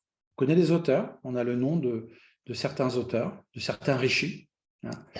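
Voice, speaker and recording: Amid audible room echo, a somewhat breathy man with a medium pitch speaks very slowly, with big swings in loudness. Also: ordinary pitch variation. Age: 60s. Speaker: Vedic astrologer. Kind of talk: lecture. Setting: online conference. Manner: hesitant, many fillers.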